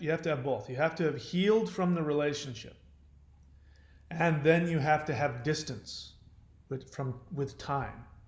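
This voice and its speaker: A man speaks at a moderate pace, his voice fairly high and somewhat breathy. Pitch variation is ordinary, and there is audible room echo. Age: 50s. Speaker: YouTuber on relationship recovery. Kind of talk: casual monologue.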